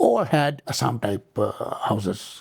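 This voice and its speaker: The recording is very clean and the background silent. A man talks with a somewhat breathy voice. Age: 70s. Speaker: author and retired civil servant. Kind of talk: interview.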